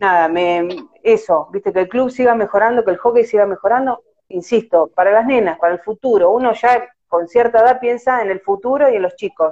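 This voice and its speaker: This woman has a plain, everyday voice with ordinary pitch variation, speaking at a moderate pace. The recording is dry and close, with no echo. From Argentina, La Plata. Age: 40s. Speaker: amateur field hockey goalkeeper. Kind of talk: casual interview. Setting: Instagram live video call.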